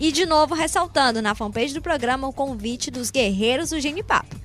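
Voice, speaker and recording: With music in the background, a woman speaks at a high pitch with ordinary pitch variation and hardly any pauses. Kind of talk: radio sports show presenter.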